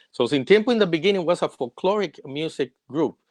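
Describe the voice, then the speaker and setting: A man with a Puerto Rican accent, moderate pace and ordinary pitch variation, in a dry, close sound with no echo. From Puerto Rico. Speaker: singer-songwriter. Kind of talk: interview.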